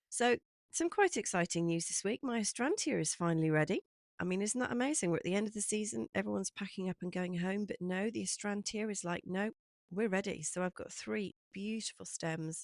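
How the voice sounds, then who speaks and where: With an English accent, a woman speaks at a fairly quick pace in a dry, close sound with no echo. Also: medium pitch for a woman, ordinary pitch variation. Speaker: cut flower grower and vlogger. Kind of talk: casual vlog update.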